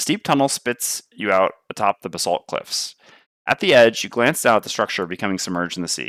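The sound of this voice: Intonation is lively throughout. An unforced reading voice sounds over a quiet background.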